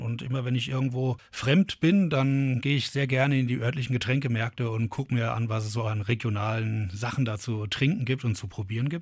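The recording is very clean, with a silent background. A man with a medium pitch and ordinary pitch variation talks at a fairly quick pace, sounding somewhat breathy. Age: 40s. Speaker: brewery founder and gardener. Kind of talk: interview.

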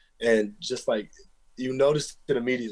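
With an American accent, a man talks at a fairly quick pace at medium pitch, an unremarkable speaking voice. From Texas. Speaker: college football player. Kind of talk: interview.

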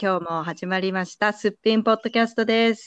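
A woman with a plain, everyday voice speaks at a medium pitch with ordinary pitch variation. The sound is dry and close with no echo, over a quiet background. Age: 20s. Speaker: podcast co-host. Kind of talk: casual chat.

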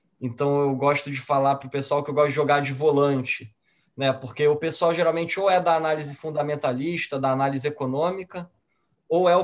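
A plain, everyday voice of a man at a fairly high pitch, with fairly even intonation and a moderate pace. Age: 30s. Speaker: financial advisor. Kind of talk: casual chat.

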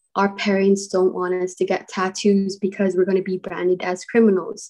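Moderately paced speech from a woman, medium in pitch and dark and mellow in tone. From Guam. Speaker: podcast co-host. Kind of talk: casual chat.

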